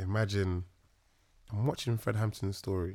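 In a very clean recording with a silent background, a man speaks with a London accent. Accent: London Multicultural English. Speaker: actor. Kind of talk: casual chat.

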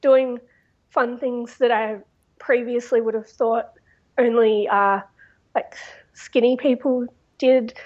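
At a very slow pace, a woman talks in a high pitch with an Australian accent. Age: 20s. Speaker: student. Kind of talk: interview testimony.

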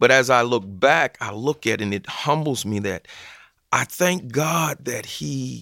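In a Southern US accent, a man speaks at a fairly slow pace with a bright, sharp tone, the sound dry and close with no echo on a very clean recording with a silent background. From US South, Georgia/Alabama border. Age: 50s. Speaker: football chaplain and former pro player. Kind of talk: interview testimony.

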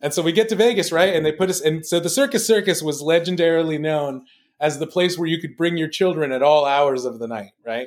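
An unremarkable speaking voice from a man with an American accent and a fairly high pitch. He speaks at a fairly quick pace with lively intonation on a very clean recording with a silent background. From Los Angeles. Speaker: stand-up comedian. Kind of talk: casual chat.

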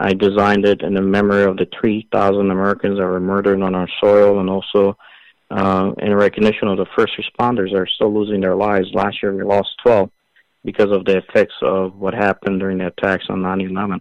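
A man's fairly low-pitched, monotone voice with flat intonation, at a fairly quick pace, with a dry, close sound and no echo. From Iran, moved to US at age ten. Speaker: retired army officer and congressional candidate. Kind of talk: interview.

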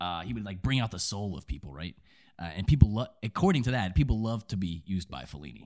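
A man with a very deep, low pitch and vocal fry, very fast in pace, with lively intonation and big swings in loudness. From Kentucky. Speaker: film podcast co-host. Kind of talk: casual chat.

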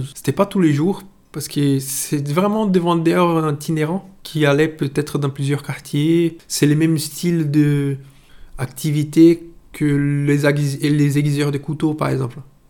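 A man speaks very slowly with a Portuguese accent and a dark, mellow tone. His pitch is fairly high, and his intonation is fairly even. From Brazil, Itabuna. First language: Portuguese (speaking French). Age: 30s. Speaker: interviewee sharing food memories. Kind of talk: personal storytelling. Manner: halting, many hesitations.

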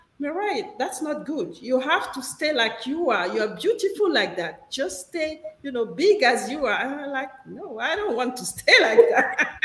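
A woman's high-pitched voice at a fairly slow pace, with very wide pitch swings, hardly any pauses and noticeable background noise. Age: 50s. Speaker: co-host, entrepreneur and coach. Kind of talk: casual chat. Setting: video call.

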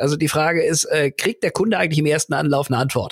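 In a very clean recording with a silent background, a man uses a normal speaking voice with lively intonation. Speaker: business school lecturer and customer management consultant. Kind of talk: casual interview. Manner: many filler sounds and repetitions.

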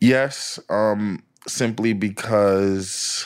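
A man speaks at a fairly low pitch with fairly even intonation. The recording is very clean, with a silent background. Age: 30s. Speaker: former high school classmate of the host. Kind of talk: casual conversation. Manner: hesitant, many fillers.

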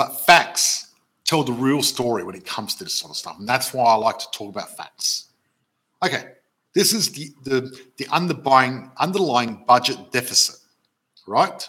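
Speaking with an Australian accent, a man has a medium pitch and a bright, sharp tone. His intonation is lively. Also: moderate pace. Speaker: property investment educator and live show host. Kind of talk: live stream webinar. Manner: animated.

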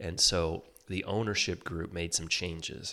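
The recording is very clean and the background silent. His voice is very deep and low, and this man's intonation stays fairly even. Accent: Michigan. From Michigan, outside Detroit. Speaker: ski company executive and water skier. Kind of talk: casual interview.

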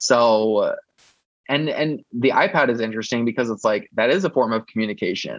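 With a normal speaking voice, a man at medium pitch talks at a moderate pace and with ordinary pitch variation. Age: 30s. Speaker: fan site founder and advocate. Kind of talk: interview.

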